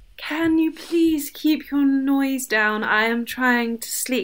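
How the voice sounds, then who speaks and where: A woman uses a put-on character voice, pitched high. She speaks at a very slow pace. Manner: annoyed but groggy.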